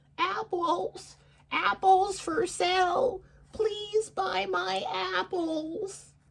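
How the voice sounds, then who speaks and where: A man uses a put-on character voice at an extremely high pitch, speaking very slowly. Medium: read story. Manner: sly, false kindness.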